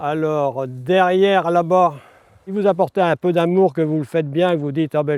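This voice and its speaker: In a dry, close sound with no echo, a man with a fairly high pitch speaks at a moderate pace with fairly even intonation. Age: 60s. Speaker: retired farmer. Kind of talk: casual chat. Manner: hesitant, many fillers.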